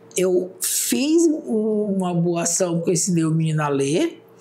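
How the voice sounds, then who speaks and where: A woman of medium pitch, with audible room echo and noticeable background noise. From Brazil, Roraima (Mucajaí). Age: 60s. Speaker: public defender and former teacher. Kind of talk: interview.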